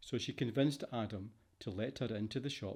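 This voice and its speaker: A man speaks in a Scottish accent with medium pitch and a dark, mellow tone. His intonation is fairly even and his pace moderate. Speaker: voice over artist. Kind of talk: fiction audiobook narration.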